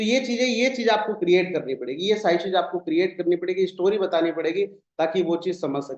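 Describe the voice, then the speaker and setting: In an animated tone, a man with a high pitch and ordinary pitch variation speaks with hardly any pauses. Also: moderate pace. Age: 20s. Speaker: network marketing team leader. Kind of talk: motivational talk on a zoom meeting. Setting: video call.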